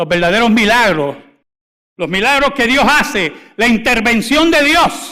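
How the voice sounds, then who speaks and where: In a raised, projected voice with a bright, sharp tone, a man speaks at an extremely high pitch with very wide pitch swings, very even loudness and a fairly slow pace. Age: 60s. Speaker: pastor. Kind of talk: sermon. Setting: church.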